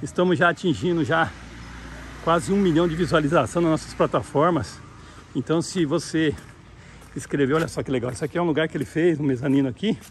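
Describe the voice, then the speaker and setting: Fairly quick but with long, frequent pauses, a man talks at a fairly high pitch with ordinary variation over light background noise. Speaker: real estate agent. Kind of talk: property tour video. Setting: outdoors walking around property. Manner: enthusiastic salesy. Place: open country. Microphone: phone near.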